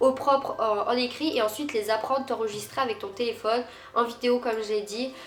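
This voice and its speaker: Over noticeable background noise, someone speaks fairly quickly with a slight Marseille accent and ordinary pitch variation. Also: woman. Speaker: youtuber. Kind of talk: casual Q&A vlog. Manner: hesitant, many fillers.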